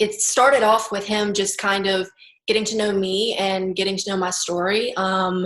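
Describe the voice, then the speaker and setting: At a moderate pace, a woman with an American accent talks in an ordinary speaking voice. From US South, Baton Rouge, Louisiana. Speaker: suicide attempt survivor. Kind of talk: interview.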